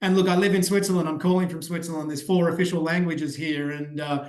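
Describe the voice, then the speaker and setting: Someone with an Australian accent speaks with fairly even intonation, and room echo is audible. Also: man. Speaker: ed-tech growth strategist. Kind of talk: podcast interview. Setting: remote call.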